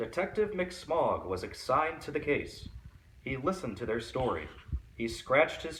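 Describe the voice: This plain reading aloud has lively intonation.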